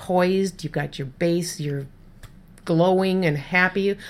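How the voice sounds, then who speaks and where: A woman with an American accent speaks in an ordinary speaking voice. Her fairly low pitch and fairly even intonation come at a fairly slow pace. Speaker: podcast host and freelance writer. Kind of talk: casual interview chat. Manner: laughs often, chatty.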